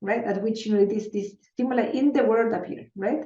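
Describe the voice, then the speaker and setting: A woman speaks at a fairly quick pace in a Spanish accent. Her voice is fairly high, with a dark, mellow tone. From Chile. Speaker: neuroscientist. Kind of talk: interview. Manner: halting, many repetitions and fillers.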